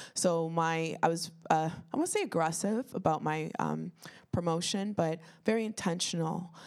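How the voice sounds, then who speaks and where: A woman with a Toronto accent talks at a moderate pace, her pitch fairly low and its variation ordinary. The recording is very clean, with a silent background. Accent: Canadian, Toronto. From Toronto, Canada (Etobicoke). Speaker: children's author and teacher. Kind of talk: panel discussion.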